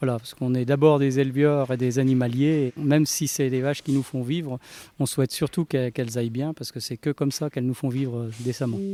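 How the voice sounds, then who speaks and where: In a dry, close recording with no echo, a man with a dark, mellow tone and medium pitch talks at a very fast pace with fairly even intonation. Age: 60s. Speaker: dairy farmer. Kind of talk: interview testimony. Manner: halting, many hesitations.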